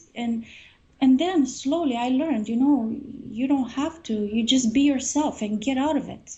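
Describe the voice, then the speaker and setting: A woman with a high-pitched voice speaks at a moderate pace, her pitch varying in an ordinary way. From Romania. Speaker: singer and author. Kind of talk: interview.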